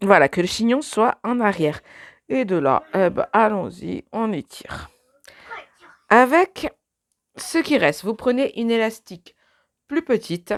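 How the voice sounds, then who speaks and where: Very slow and marked by long, frequent pauses, the speech swings very widely in pitch, with a dry, close sound and no echo. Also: woman, fairly high pitch for a woman. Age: 30s. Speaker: beauty vlogger. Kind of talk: tutorial. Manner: casual, chatty.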